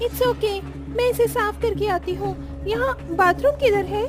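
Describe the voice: A cartoonish character voice, female-sounding, at a moderate pace over loud music in the background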